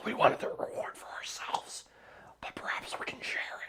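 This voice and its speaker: A man's raspy, whispered put-on character voice at a fairly quick pace. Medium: actual play. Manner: sly, bargaining.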